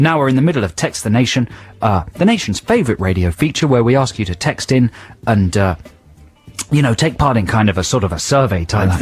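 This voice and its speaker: A man at a very fast pace, medium pitch and lively intonation, with music in the background. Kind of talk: radio presenter banter. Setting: radio show. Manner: sarcastic, dry, tossed off.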